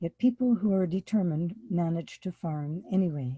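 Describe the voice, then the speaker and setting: A woman with an American accent, medium pitch and ordinary pitch variation, somewhat breathy with a dark, mellow tone, at a fairly slow pace, in a dry, close sound with no echo. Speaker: farmer and workshop presenter. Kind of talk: workshop lecture.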